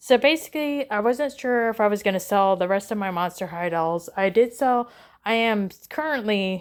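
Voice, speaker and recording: A woman's medium-pitched voice with lively intonation at a moderate pace, in a very clean recording with a silent background. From northern US. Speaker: doll collector vlogger. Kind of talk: casual vlog ramble. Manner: halting, many fillers.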